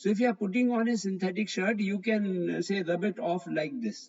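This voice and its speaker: With an Indian accent, a man speaks at a moderate pace in a high pitch, his intonation lively. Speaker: physics teacher. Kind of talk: online live class. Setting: online live class.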